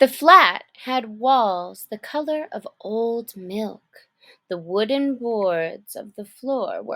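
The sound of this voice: An unforced reading voice with lively intonation is heard over a quiet background.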